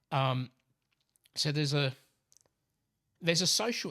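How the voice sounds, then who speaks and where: A man with an Australian accent speaks at a moderate pace in a fairly high pitch, with ordinary pitch variation and a dry, close sound with no echo. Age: 60s. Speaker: professor. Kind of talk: casual chat. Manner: halting.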